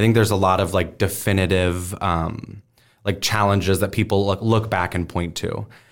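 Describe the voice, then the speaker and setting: Recorded very cleanly against a silent background, a man speaks at a fairly low pitch in a monotone, flat intonation. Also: moderate pace. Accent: American. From US Midwest, Omaha, Nebraska. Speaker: teacher and STEM educator, stand-up comedian. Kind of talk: casual interview.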